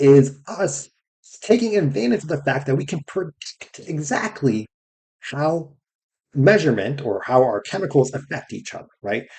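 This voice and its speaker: A man's somewhat breathy, dark, mellow voice, fairly high in pitch, with very wide pitch swings at a moderate pace. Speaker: science educator. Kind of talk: casual lecture. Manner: casual, filler-heavy with frequent right?.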